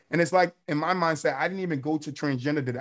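A man with a normal speaking voice, fairly high in pitch, with fairly even intonation on a very clean recording over a silent background. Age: 30s. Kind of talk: casual chat.

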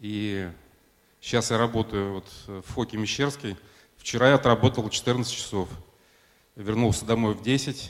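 At a fairly slow pace, a man speaks with a medium pitch and fairly even intonation. He leaves long, frequent pauses. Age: 50s. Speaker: church member giving testimony. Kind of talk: testimony.

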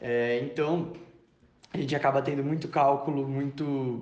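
The man's intonation stays fairly even, and there is audible room echo. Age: 20s. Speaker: engineering student. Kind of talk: testimony. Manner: halting, with fillers and repetitions.

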